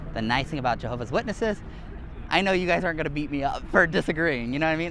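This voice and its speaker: Words rush by at a very fast pace, with noticeable background noise present. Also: man. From Hawaii. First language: Hawaiian. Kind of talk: casual religious debate. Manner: hesitant, many fillers.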